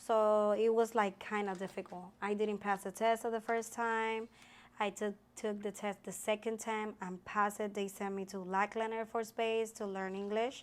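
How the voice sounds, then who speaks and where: Speaking in a Puerto Rican accent, a woman keeps a medium pitch and a moderate pace. Her intonation is monotone and flat, in a very clean recording with a silent background. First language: Spanish. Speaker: army sergeant. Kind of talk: interview. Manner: halting.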